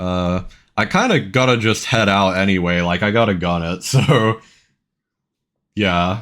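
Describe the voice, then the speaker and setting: A plain, everyday voice with ordinary pitch variation, heard at a fairly slow pace on a very clean recording with a silent background. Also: man. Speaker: vtuber streamer. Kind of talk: casual chat.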